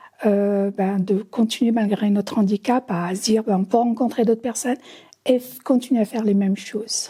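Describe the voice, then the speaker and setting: Her tone dark and mellow, a woman speaks in a fairly high, somewhat breathy voice at a moderate pace with fairly even intonation. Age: 60s. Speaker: visually impaired film viewer. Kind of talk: testimony. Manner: halting.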